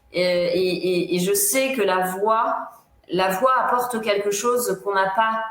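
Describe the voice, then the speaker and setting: A woman speaks at a very slow pace with ordinary pitch variation. Audible room echo and noticeable background noise fill the recording. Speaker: psychologist. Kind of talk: interview. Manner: emotional, not neutral; halting, many fillers.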